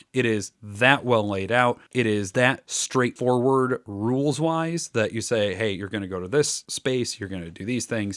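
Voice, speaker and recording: A man with a Midwestern US accent speaks at a medium pitch with ordinary pitch variation, at a fairly slow pace with hardly any pauses. The sound is dry and close with no echo on a very clean recording with a silent background. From US Midwest. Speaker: board game reviewer. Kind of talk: casual review conversation.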